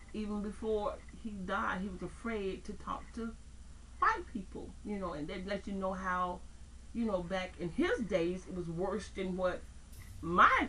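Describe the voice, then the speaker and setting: Noticeable background noise and audible room echo around a woman's fairly slow pace. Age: 60s. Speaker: interviewee. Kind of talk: testimony. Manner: halting.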